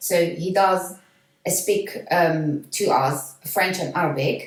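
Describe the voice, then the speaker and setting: A woman with a Flemish accent speaks very slowly, her fairly low voice keeping a fairly even intonation. Audible room echo surrounds the recording. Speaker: parent of a student. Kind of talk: casual chat. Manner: halting.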